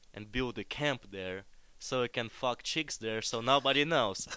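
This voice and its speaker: Captured on a very clean recording with a silent background, a man with a Russian accent speaks at a medium pitch in a bright, sharp tone with ordinary pitch variation. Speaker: podcast guest. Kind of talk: casual chat.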